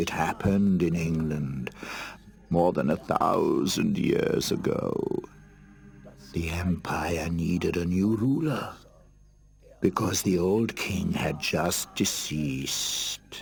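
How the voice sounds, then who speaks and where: Over music in the background, a man does a cartoonish character voice at a very deep, low pitch. He speaks very slowly, with long, frequent pauses. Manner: wry, self-satisfied.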